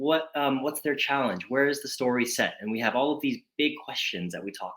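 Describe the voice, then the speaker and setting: Fairly quick speech from a man in an American accent. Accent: American, noticeable to UK audience. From Atlanta, Georgia, US South. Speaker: children's author. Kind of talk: author talk to school pupils. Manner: repeats words, slight stammer-like repetitions.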